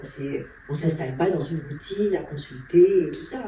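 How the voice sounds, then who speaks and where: A woman speaks at a moderate pace with a fairly low pitch. There is noticeable background noise and audible room echo. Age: 60s. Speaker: endocrinologist. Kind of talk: interview. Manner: hesitant, many fillers.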